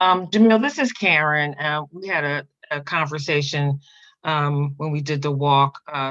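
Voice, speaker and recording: Over a quiet background, a woman with a very deep, low pitch talks at a fairly slow pace, her pitch varying in an ordinary way. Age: 60s. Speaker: audience member and breast cancer survivor. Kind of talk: question from audience. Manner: halting.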